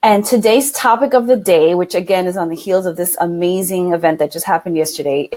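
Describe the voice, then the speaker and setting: A woman talks in an animated tone at medium pitch, her intonation lively. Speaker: live stream co-host, women's coach. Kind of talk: casual live stream talk. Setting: live video broadcast.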